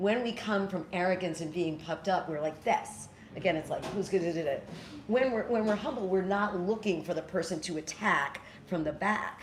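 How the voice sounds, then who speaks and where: An American accent with ordinary pitch variation, over noticeable background noise. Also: woman, medium pitch for a woman. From New York City. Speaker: spiritual teacher and storyteller. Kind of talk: talk with audience Q&A. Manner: fast.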